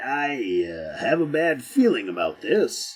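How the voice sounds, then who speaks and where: A man uses a put-on character voice, raspy and gruff. He speaks at a fairly slow pace. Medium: read story. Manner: gruff, hesitant mutterer.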